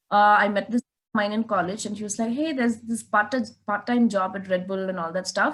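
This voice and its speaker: A woman's medium-pitched voice in a northeastern Indian accent, fairly even in intonation, at a fairly quick pace. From Meghalaya, India (Shillong, Khasi). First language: Khasi. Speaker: race car driver. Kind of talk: interview.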